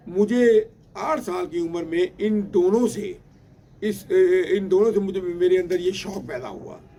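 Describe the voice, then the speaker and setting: A high-pitched man's voice with ordinary pitch variation and noticeable background noise. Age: 60s. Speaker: pigeon breeder. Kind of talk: storytelling. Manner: halting, many fillers and repetitions.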